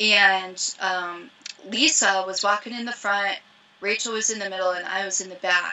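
Big swings in loudness mark a woman speaking at a moderate pace with an American accent. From US Midwest (Ohio, farm). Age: 30s. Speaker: professional mountaineer. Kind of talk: casual chat. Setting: video call from her van. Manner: animated. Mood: relaxed, casual. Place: home room. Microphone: video call.

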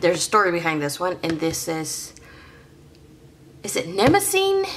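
Over light background noise, a woman talks at a moderate pace with very wide pitch swings. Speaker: hobby vlogger. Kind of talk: casual vlog chat. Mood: chatty, self-deprecating.

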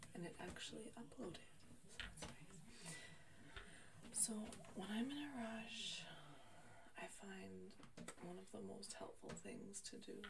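A woman speaks at a fairly slow pace with long, frequent pauses. Loud background noise runs underneath. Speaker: beauty vlogger. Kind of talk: casual vlog chat. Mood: encouraging, upbeat. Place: bathroom.

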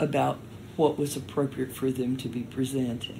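A woman's very deep, low voice, somewhat breathy, with a dark, mellow tone at a moderate pace. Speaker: storyteller. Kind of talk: interview answer.

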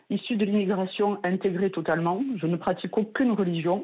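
Her intonation fairly even, a woman speaks in a plain, everyday voice at medium pitch. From France. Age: 40s. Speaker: nurse, radio caller. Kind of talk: testimony.

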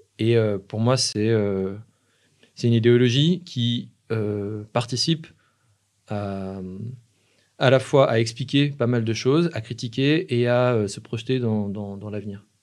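Against a quiet background, a man speaks at a very slow pace with long, frequent pauses and ordinary pitch variation. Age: 30s. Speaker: filmmaker, musician and anarchist activist; podcast guest. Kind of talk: casual interview. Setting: live stream with chat. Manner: halting, many hesitations. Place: studio. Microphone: studio mic.

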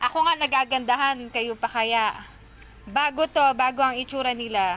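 A woman speaks with a high pitch. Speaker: online seller of crystals. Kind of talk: live selling stream; casual vlog chat. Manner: animated. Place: garden. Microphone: phone near.

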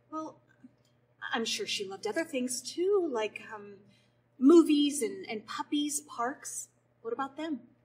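High-pitched speech from a woman, fairly slow in pace. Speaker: stage actor. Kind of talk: scripted dialogue in a play scene. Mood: gentle, reassuring, reflective. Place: stage. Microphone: camera far.

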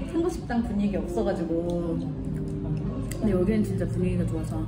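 Someone speaks at a fairly quick pace while music plays clearly in the background. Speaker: vlogger dining with friend. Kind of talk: casual vlog chat. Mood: relaxed, pleased. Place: cafe.

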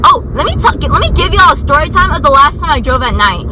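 A raised, projected voice comes through over noticeable background noise, with a dry sound and no echo. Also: woman. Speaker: vlogger driving. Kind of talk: casual vlog chat. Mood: nervous, joking. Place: car. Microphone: phone near.

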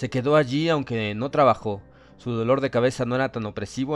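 The speaker reads in an unforced voice, and the pitch rises and falls an ordinary amount.

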